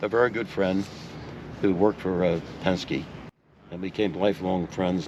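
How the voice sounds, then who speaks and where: Pitched very deep and low, a man talks at a moderate pace with fairly even intonation and long, frequent pauses. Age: 80s+. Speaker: retired racing car owner. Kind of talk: interview answer. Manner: storytelling, conversational.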